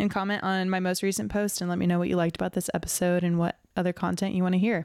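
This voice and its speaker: A woman speaks at a medium pitch with fairly even intonation and a very fast pace, the sound dry and close with no echo on a very clean recording over a silent background. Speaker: podcast host.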